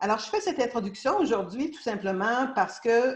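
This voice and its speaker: In a Quebec accent, a woman speaks at a moderate pace, somewhat breathy, with lively intonation. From Quebec, Canada. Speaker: law of attraction teacher. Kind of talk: casual talk to an audience. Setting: live stream. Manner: hesitant, many fillers.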